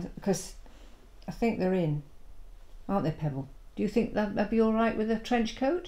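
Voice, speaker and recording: In a Yorkshire accent, a woman talks at a moderate pace with a fairly high pitch, very wide pitch swings, a dark, mellow tone and a somewhat breathy quality. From West Yorkshire. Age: 70s. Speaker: retired drama teacher. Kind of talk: documentary conversation.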